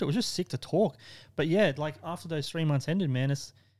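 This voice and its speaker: On a very clean recording with a silent background, a man with an Australian accent talks at a fairly quick pace, his fairly high pitch showing ordinary variation. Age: 30s. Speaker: tattoo shop owner. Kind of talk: casual chat. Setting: tattoo studio.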